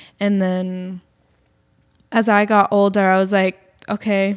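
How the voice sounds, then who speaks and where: A woman's medium-pitched voice comes through with an American accent. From Massachusetts, Boston area. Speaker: musician and yoga teacher. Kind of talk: casual interview.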